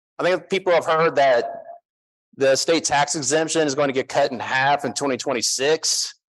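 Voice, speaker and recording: An American-accented man with a fairly high pitch and fairly even intonation. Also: moderate pace. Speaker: tax strategist, conference speaker. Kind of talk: conference talk. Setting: stage with audience. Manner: casual, joking.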